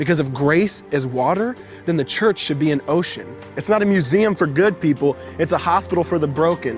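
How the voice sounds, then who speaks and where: Music plays behind a man speaking at a moderate pace. His voice sits high, and his intonation is lively. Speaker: spoken word poet. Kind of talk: spoken word poetry performance.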